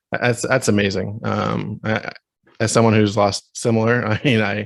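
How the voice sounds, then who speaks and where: Speaking at a moderate pace, a man with a fairly low pitch uses monotone, flat intonation and vocal fry. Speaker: podcast host. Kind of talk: podcast interview question.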